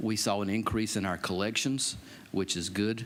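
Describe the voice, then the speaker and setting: Audible room echo around a man with an American accent. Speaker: county EMS director. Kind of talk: budget presentation to council. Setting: county council meeting.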